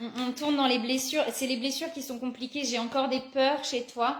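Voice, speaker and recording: A woman's high-pitched voice moves at a moderate pace, noticeable background noise audible behind it. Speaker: psychic card reader. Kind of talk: live card reading guidance. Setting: live video stream.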